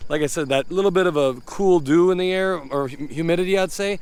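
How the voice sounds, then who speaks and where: Speaking at a fairly quick pace, a man with an American accent shows ordinary pitch variation. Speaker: hay farmer. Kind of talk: casual field talk to camera. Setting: outdoors in a hay field. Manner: fast at times; rambling, repetitive, hesitant restarts.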